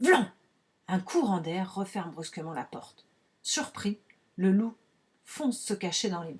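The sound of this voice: What comes through is an unforced reading voice.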